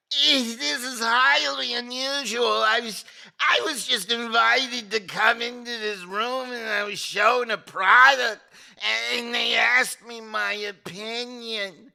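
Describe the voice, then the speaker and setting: A man puts on a character voice with an extremely high pitch and fairly even intonation. He goes at a fairly slow pace, with big swings in loudness. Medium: comedy sketch. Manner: hesitant, stammering.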